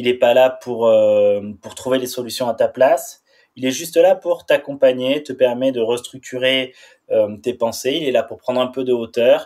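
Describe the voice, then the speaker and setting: Here is a man with an ordinary speaking voice at a medium pitch. He keeps a moderate pace with ordinary pitch variation. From France, Pyrenees. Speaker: former pro snowboarder and public speaker. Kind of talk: podcast interview.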